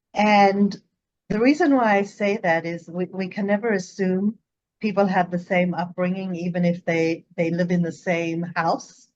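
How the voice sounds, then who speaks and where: With a South African accent, a woman speaks slowly-ish at a fairly slow pace and medium pitch, keeping her intonation fairly even. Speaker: psychologist, guest expert. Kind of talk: interview conversation.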